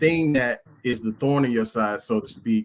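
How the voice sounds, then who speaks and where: Here a man speaks at a fairly slow pace with an American accent. His intonation stays fairly even. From US South (South Georgia). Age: 40s. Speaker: podcast guest. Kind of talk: casual group discussion. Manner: halting, repeats words.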